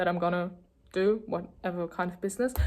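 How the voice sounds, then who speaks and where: Delivery in a German accent with monotone, flat intonation. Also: woman. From Germany. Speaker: vlogger. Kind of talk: casual chat. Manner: hesitant, lots of fillers.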